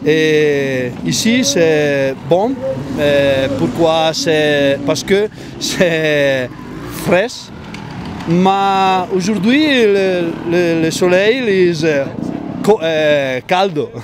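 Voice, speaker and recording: Spoken with a strong Italian accent, the speech moves at a very slow pace with long, frequent pauses, ordinary pitch variation and very even loudness. Noticeable background noise and audible room echo are present. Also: man, fairly high pitch for a man. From northern Italy, Bergamo area. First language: Italian (speaking French). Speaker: parent of a young trial rider. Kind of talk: interview. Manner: halting.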